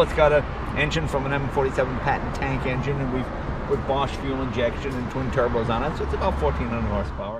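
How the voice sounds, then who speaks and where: Loud background noise runs under speech at a fairly quick pace. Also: man, dry sound with no echo. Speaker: car collector host. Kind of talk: casual ride-along commentary. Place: car.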